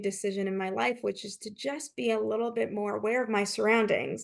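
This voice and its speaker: A woman at a fairly quick pace, medium in pitch with ordinary pitch variation, an unremarkable speaking voice against a quiet background. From Canada. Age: 40s. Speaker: leadership consultant and author. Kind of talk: interview.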